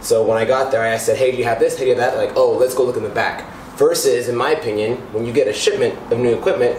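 A man's voice carries audible room echo along with light background noise. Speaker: home gym vlogger. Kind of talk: casual vlog chat. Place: garage.

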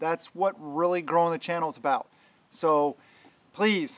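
Ordinary pitch variation marks the man's speech. He goes at a moderate pace. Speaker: prepping vlogger. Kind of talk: casual vlog chat. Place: garden.

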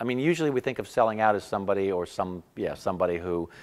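A man speaks at a fairly low pitch. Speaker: playwright, actor and spoken word artist. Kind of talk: interview answer.

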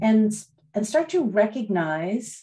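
A woman speaks at a fairly slow pace with ordinary pitch variation against a quiet background. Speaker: meditation teacher. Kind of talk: talk to a live online group before a guided meditation. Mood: warm, reflective. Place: home room. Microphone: video call.

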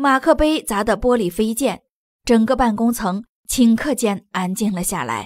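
The passage is read aloud in a natural voice, with normal pitch movement and a hushed background.

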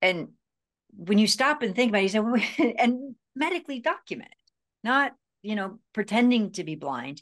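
Over a quiet background, a woman with a fairly high voice moves at a moderate pace, swinging very widely in pitch and leaving long, frequent pauses. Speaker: self-healing speaker and author. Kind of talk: interview. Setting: video call. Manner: halting, repeats words. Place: home room. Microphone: video call.

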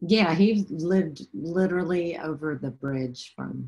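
A woman with an American accent speaks at a fairly slow pace, her tone dark, mellow and somewhat breathy. Her pitch is fairly low and her intonation lively. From Southeast Texas; Texas. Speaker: photographer; guest. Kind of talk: interview. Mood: calm, reflective. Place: home room. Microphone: webcam.

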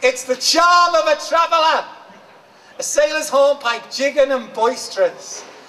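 Using a raised, projected voice at an extremely high pitch, a man keeps a very even loudness, a fairly slow pace and ordinary pitch variation. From Liverpool. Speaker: performance poet. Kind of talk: poetry reading. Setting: live event. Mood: expressive, eyes often closed. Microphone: handheld.

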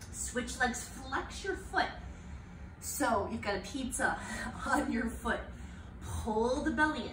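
Very slow talking from a woman, with noticeable background noise behind it. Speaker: fitness instructor. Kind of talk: workout instruction. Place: home room. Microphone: camera far.

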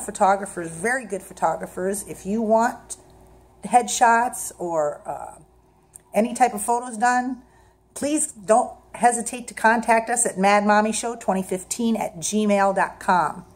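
Upbeat and animated, a woman speaks at a fairly slow pace in a somewhat breathy voice with ordinary pitch variation. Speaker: show host and stage mom. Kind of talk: casual documentary hosting. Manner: upbeat, animated. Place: home room. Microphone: phone near.

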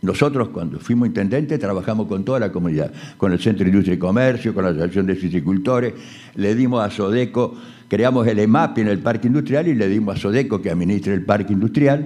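Over a quiet background, a man with a fairly low, dark, mellow voice talks very fast with lively intonation. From Argentina, Concordia (Entre Ríos); Entre Ríos, Argentina. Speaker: mayoral candidate, businessman; candidate. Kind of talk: political debate speech. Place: hall. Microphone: podium.

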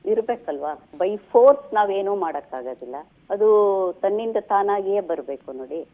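Her tone is dark and mellow. This woman's medium pitch moves in very wide swings. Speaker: writer's daughter sharing memories. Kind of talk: radio interview.

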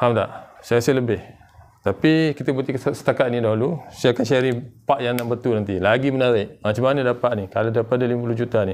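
A man speaks at a very fast pace with medium pitch and fairly even intonation. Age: 40s. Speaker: online business vlogger. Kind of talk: sales pitch. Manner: casual. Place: home room.

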